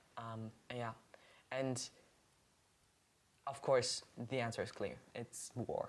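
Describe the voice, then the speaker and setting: The speaker has a German accent and talks at a very slow pace. Long pauses come often. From Germany, Cologne. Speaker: podcast co-host. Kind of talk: casual chat.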